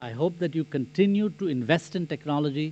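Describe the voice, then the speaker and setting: Fairly high-pitched for a man, his voice carries a dark, mellow tone. His pitch varies in an ordinary way, and his pace is moderate. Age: 70s. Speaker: convocation speaker. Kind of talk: commencement speech.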